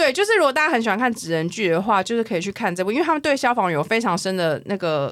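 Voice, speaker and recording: A woman talking at a very fast pace, with very wide pitch swings and hardly any pauses. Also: medium pitch for a woman. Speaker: podcast host. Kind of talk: casual chat.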